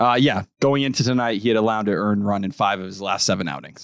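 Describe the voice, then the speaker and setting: This man has a plain, everyday voice with an American accent, fairly low in pitch with ordinary pitch variation, at a fairly quick pace. The recording is very clean with a silent background, dry and close with no echo. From southeastern Massachusetts. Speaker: sports podcast host. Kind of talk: casual chat.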